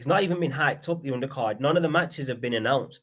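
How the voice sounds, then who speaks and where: Here a man speaks with a Lancashire accent. His pitch is fairly high, with ordinary pitch variation. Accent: Lancashire accent, mistaken for Liverpool. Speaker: podcast host. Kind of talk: casual chat. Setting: live stream.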